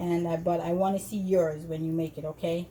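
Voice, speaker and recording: Speaking with a Jamaican accent, a woman keeps a fairly low pitch, a fairly slow pace and fairly even intonation. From Jamaica, Montego Bay. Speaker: cooking video host. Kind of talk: tutorial. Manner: casual, hesitant with fillers.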